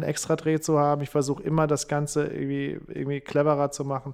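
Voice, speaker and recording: The recording is very clean, with a silent background. A man speaks at a fairly quick pace with a fairly high pitch. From Saarland, near French border. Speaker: comedian and radio host. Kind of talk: casual interview.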